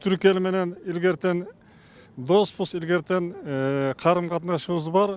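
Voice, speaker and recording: A man with a high pitch speaks fairly slowly, his pitch varying in an ordinary way. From Kyrgyzstan, Talas. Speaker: event attendee interviewed. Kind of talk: street interview. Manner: halting.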